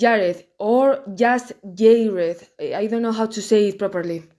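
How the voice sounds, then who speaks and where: A woman with a strong Spanish accent talks at a fairly slow pace. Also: very clean recording, silent background. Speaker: YouTuber commenting on films. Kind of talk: casual video commentary. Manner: careful over-articulated pronunciation.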